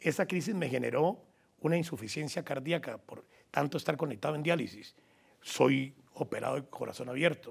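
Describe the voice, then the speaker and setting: A man with a somewhat breathy voice speaks with ordinary pitch variation. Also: fairly high pitch for a man, moderate pace. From Colombia, Huila (Garzón); Huila, Colombia. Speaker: journalist and sports commentator. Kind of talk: interview. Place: studio. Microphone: lapel.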